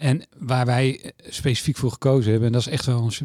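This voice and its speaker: A man talks at a moderate pace and medium pitch in a dark, mellow tone that is somewhat breathy. The sound is dry and close, with no echo. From Netherlands, Utrecht. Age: 50s. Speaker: mortgage company executive. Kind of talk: interview. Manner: hesitant, many filler sounds.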